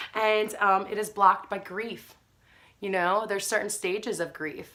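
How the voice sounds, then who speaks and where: An animated woman's voice, bright and sharp in tone, medium in pitch, at a moderate pace. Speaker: spiritual wellness vlogger. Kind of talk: casual talk to camera.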